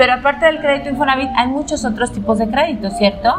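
High-pitched and lively in intonation, a woman's voice comes through over noticeable background noise. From Mexico, León (Guanajuato). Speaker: podcast host. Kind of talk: casual chat. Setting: café.

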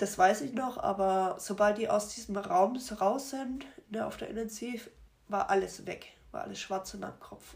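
Medium-pitched woman at a moderate pace, ordinary pitch variation, noticeable background noise. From Germany, Rothenburg. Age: 20s. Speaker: accident survivor. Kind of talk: testimony. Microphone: poor sound.

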